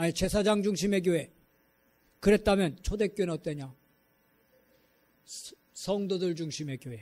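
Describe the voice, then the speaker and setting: Here is a man with a high pitch. His tone is dark and mellow. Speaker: pastor. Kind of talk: sermon. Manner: sharp intonation; blunt, direct delivery.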